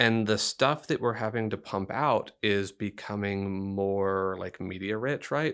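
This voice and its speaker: A man with an American accent and a plain, everyday voice speaks fairly slowly at a fairly low pitch, with ordinary pitch variation and hardly any pauses. The background is quiet. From Texas, Dickinson near Houston. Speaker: journalism professor. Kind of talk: interview.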